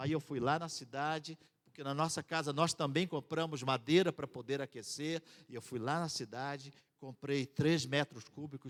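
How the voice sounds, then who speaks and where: Dry and close with no echo, the recording captures a man with a normal speaking voice. He talks at a fairly high pitch and a moderate pace. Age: 60s. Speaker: missionary. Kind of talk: sermon.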